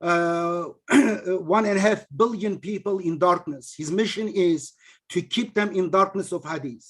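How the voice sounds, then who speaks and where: A man with a non-native accent speaks in a high voice at a fairly slow pace. His pitch varies in an ordinary way. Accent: heavy non-native. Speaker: religious teacher and author. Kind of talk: online lecture with discussion. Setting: video call. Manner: animated.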